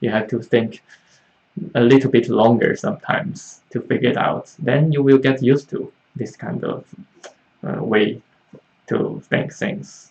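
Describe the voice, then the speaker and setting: The delivery is fairly slow, with ordinary pitch variation and long, frequent pauses. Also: man, medium pitch for a man. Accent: Chinese. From China. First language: Mandarin Chinese. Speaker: Chinese language teacher. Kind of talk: live online Q&A class. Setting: livestream. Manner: halting, many fillers.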